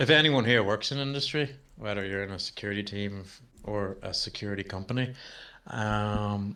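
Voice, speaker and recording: A man's fairly low, bright and sharp voice with a strong Irish accent, fairly quick, with ordinary pitch variation and big swings in loudness. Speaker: cybersecurity founder and presenter. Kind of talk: webinar demo and Q&A. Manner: casual, conversational.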